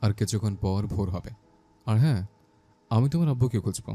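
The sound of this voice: The speaker reads from a text. Theirs is an unforced reading voice.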